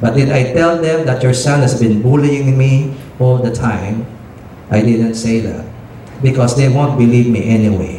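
A man's medium-pitched voice at a moderate pace with fairly even intonation, plus audible room echo and noticeable background noise. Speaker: preacher. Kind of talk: sermon.

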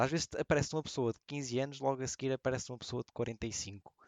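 The man has a medium pitch and a European Portuguese accent. He speaks at a fairly quick pace. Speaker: podcast co-host and streamer. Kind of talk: casual chat.

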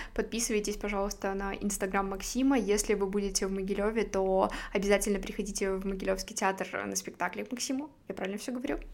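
A woman's very fast pace is paired with fairly even intonation. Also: medium pitch for a woman. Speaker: podcast host. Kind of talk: casual interview chat.

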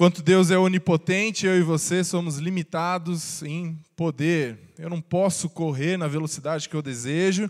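A man speaks in a high voice at a fairly slow pace. The recording is very clean, with a silent background. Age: 20s. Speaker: pastor. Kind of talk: sermon. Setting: church.

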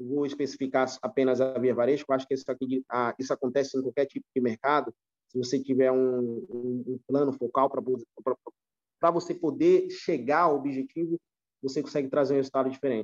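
Here a man speaks at a medium pitch and a moderate pace. His intonation is fairly even, and the sound is dry and close, with no echo. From São Paulo, Brazil (until 14), then Recife. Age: 30s. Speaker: retail store manager. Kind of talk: podcast interview. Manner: halting, many repetitions.

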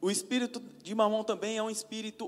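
This man's voice sits high in pitch. He speaks at a fairly quick pace. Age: 40s. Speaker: lay preacher and businessman. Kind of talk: sermon.

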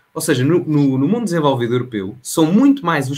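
At a moderate pace, a man speaks in a somewhat breathy voice with a fairly high pitch. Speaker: local politician and political content creator. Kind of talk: casual political interview.

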